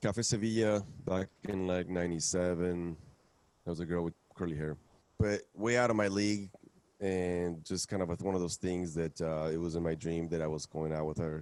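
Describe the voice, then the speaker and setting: A man's very deep, low voice with a Spanish accent, at a moderate pace and with fairly even intonation. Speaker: musician. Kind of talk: interview. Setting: live stream broadcast.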